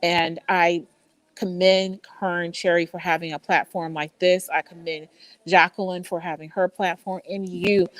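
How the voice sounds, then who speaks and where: With an American accent, a woman speaks in a fairly low, flat monotone at a fairly slow pace, the sound dry and close with no echo. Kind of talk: virtual summit interview. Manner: halting, stuttering from migraine.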